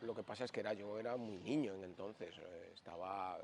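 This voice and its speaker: A man's voice, fairly low in pitch. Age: 60s. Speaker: yoga teacher. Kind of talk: interview storytelling. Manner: hesitant, with fillers.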